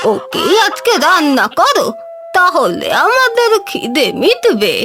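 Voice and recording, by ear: A cartoonish character voice talks at a very slow pace while clear music plays in the background.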